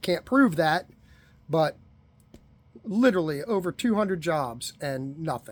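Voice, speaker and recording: Long, frequent pauses break up a man's fairly slow speech. His high voice moves in very wide pitch swings. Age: 50s. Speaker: unemployed man asking for donations. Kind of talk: personal appeal. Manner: conversational.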